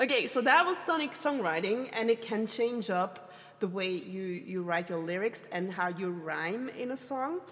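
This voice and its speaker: With very wide pitch swings and hardly any pauses, a woman speaks at a moderate pace in a medium pitch. Noticeable background noise runs behind her. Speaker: streamer teaching songwriting. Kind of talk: live stream tutorial. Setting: live stream with chat. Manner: hesitant, many fillers.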